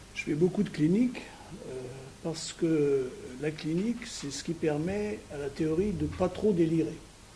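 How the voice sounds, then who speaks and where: Long, frequent pauses from a man at a fairly high pitch with ordinary pitch variation, audible room echo and noticeable background noise. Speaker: psychoanalyst and physician giving a lecture. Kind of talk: lecture. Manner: halting, many hesitations; trying to speak loudly. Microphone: no microphone.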